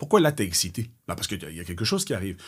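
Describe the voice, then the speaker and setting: A man speaks in an animated tone, fairly low in pitch and somewhat breathy. The recording is very clean, with a silent background. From Belgium. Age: 40s. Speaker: gym owner, entrepreneur. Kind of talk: podcast interview.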